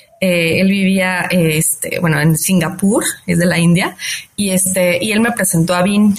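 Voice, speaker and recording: Through noticeable background noise, a woman of medium pitch speaks with fairly even intonation. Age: 40s. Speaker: fintech founder. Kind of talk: interview. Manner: frequent fillers like este and eh.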